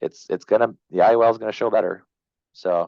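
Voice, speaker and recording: Against a quiet background, a man's voice comes through dry and close with no echo. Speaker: insurance agent. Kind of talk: sales training talk. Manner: fast; hesitant, many fillers.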